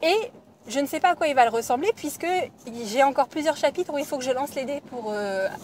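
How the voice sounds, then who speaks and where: A woman speaks with a high pitch and lively intonation. Her pace is fairly quick. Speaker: knitting podcaster. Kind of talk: casual podcast talk.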